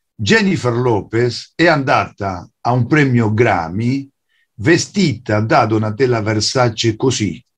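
With a Spanish accent, a man speaks at a very slow pace in a somewhat breathy voice, with lively intonation and very even loudness. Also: medium pitch for a man. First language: Spanish (speaking Italian). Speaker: writer and translator; guest. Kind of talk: lecture. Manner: halting. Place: home room. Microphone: video call.

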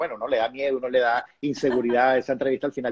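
Speaking at a very fast pace, this man's voice sits at a fairly high pitch. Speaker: TV personality, interviewer; interviewer. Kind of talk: live video interview host. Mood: warm, reflective. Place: home room. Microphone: earbuds.

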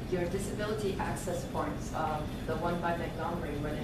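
Delivered at a moderate pace, the speech comes with loud background noise and audible room echo. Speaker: community member. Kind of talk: public comment. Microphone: camera far.

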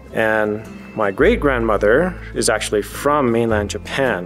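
Faint music plays behind a man whose speech has ordinary pitch variation. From Hawaii. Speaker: army field artillery officer. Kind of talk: interview answer. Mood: warm, smiling. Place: hall.

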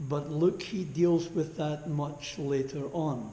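In a room with audible echo, a man speaks at a very slow pace with a monotone, flat intonation. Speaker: preacher. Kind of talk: sermon. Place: church.

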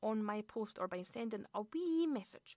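A woman's fairly high-pitched voice in a Scottish accent, with a dry sound with no echo. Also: quiet background. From Scotland. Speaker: radio host. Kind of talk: radio show presenting. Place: studio.

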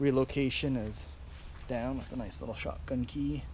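A man's voice comes through dry, with no echo, over light background noise. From Ontario, Canada. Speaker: motorcycle hobbyist vlogger. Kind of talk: casual video walkaround. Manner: halting, many fillers. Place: garden. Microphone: phone near.

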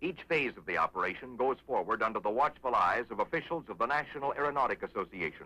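A man talks at a very fast pace with hardly any pauses, his pitch fairly high and his intonation lively. His tone is bright, sharp, dramatic and confident, with vocal fry. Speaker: military film narrator. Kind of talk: 1950s air force film narration, scripted and punchy, newsreel-style. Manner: brisk, authoritative, dramatic, formal; confident, upbeat, celebratory at the record.

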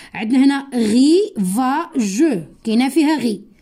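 Very wide pitch swings against a quiet background. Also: woman. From Morocco. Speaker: primary school teacher; teacher. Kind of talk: lesson for young pupils. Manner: slow, repeating words for children. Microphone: phone near.

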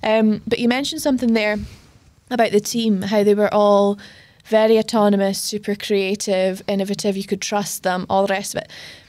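A woman talks at a fairly quick pace with fairly even intonation. The background is quiet. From Scotland. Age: 30s. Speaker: podcast host. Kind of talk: casual interview. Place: studio. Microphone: studio mic.

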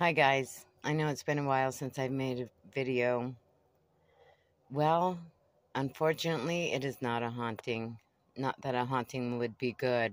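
Long, frequent pauses break up a moderate pace. The sound is dry with no echo. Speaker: van dweller vlogger. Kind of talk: casual vlog chat. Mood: wry, mildly worried. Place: home room. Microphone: phone near.

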